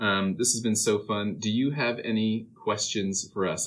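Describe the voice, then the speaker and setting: Here a man has a normal speaking voice. His pitch is fairly low. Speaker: university podcast co-host. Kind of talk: interview conversation.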